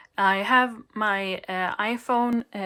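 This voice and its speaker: A woman with a Swedish accent speaks at a fairly high pitch in a bright, sharp tone, captured in a very clean recording with a silent background. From Sweden. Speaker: video creator, drawing tutorials. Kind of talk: product review.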